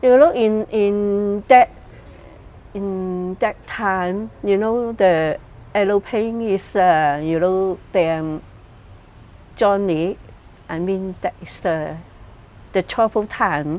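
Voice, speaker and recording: A woman at medium pitch, very slow, with long, frequent pauses, ordinary pitch variation and big swings in loudness. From Hong Kong. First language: Cantonese. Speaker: migrant interviewee. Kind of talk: interview testimony. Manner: halting.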